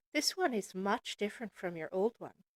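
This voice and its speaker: A woman performs in a put-on character voice. She keeps a moderate pace. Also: medium pitch for a woman. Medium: read story.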